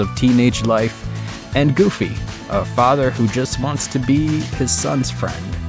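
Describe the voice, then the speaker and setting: Over music in the background, a man sounds upbeat, speaking at a medium pitch with lively intonation. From Latin America. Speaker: voice actor. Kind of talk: casual talk to camera. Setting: home studio.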